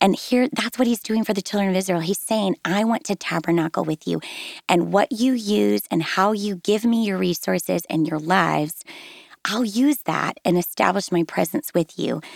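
A woman speaks at a moderate pace and a medium pitch, with lively intonation and an unremarkable speaking voice. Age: 40s. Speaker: devotional writer. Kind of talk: casual chat. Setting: studio.

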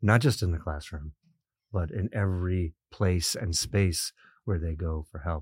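The voice has a dark, mellow tone and is somewhat breathy, moving at a moderate pace with ordinary pitch variation in a very clean, dry, close recording with no echo and a silent background. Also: man. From immigrant. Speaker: podcast host and university president. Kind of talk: interview. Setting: studio. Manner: frequent fillers.

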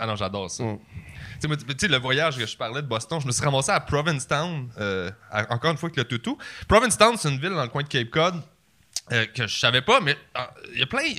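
A man with a Quebec accent speaks at a very fast pace in a fairly high pitch, with very wide pitch swings, long, frequent pauses and a bright, sharp tone, in a very clean recording with a silent background. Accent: Québécois French. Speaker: comedian. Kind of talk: casual chat.

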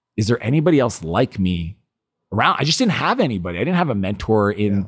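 A very fast, animated delivery in a Canadian Maritime accent, with very wide pitch swings, on a very clean recording with a silent background. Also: man. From Eastern Canada (New Brunswick). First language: French. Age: 40s. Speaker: entrepreneur and author. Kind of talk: interview, personal storytelling.

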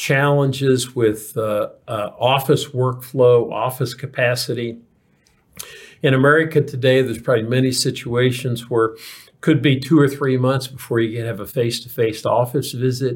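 In a very clean recording with a silent background, a man talks at a moderate pace in a medium pitch, somewhat breathy and with monotone, flat intonation. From Kentucky. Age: 60s. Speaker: physician and healthcare executive. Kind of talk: interview. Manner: halting, many fillers and repetitions.

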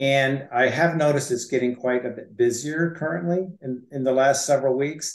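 A man speaks at a medium pitch and a fairly slow pace, with fairly even intonation and an ordinary speaking voice. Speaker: mortgage lender. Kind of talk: casual interview chat.

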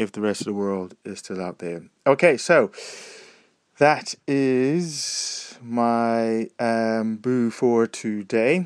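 A man with an American accent, very slow pace, lively intonation, big swings in loudness, and a dry, close sound without echo. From United States. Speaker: podcaster, audio blogger. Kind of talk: casual solo audio diary. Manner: casual, hesitant with fillers.

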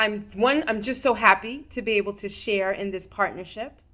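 With an American accent, a woman talks at a moderate pace in an unremarkable speaking voice, her pitch varying in an ordinary way. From New York. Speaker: physician and mental health segment host. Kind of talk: interview.

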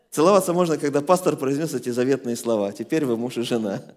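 Lively intonation marks this man's speech. He moves at a very fast pace. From former Soviet Union. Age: 40s. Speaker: pastor. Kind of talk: sermon.

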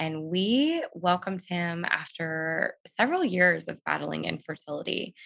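A woman speaks in a Californian accent. Her pace is fairly slow. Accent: Californian American. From Southern California. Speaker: writer and podcaster. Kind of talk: faith testimony in interview.

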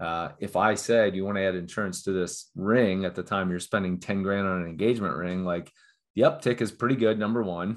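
A man speaks in a plain, everyday voice with a fairly low pitch, fairly even intonation and an American accent. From Cincinnati, Ohio, US Midwest. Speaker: startup founder. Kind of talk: interview.

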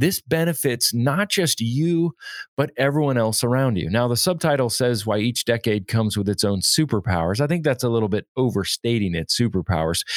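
An ordinary speaking voice from a man, fairly quick, with lively intonation, very even loudness and hardly any pauses. The recording is very clean with a silent background and a dry, close sound with no echo. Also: medium pitch for a man. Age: 40s. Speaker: podcast host, leadership consultant. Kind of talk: solo podcast monologue.

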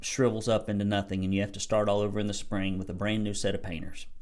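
A man with a fairly low pitch speaks with an American accent. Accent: Southern US (self-described redneck). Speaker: business coach for painting contractors. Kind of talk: solo podcast monologue, business advice. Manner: animated.

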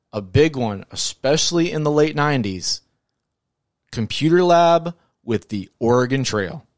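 A man with an unremarkable speaking voice at a fairly high pitch, fairly slow and with lively intonation, on a very clean recording with a silent background and a dry, close sound with no echo. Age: 30s. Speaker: podcast host. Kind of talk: casual chat. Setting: studio.

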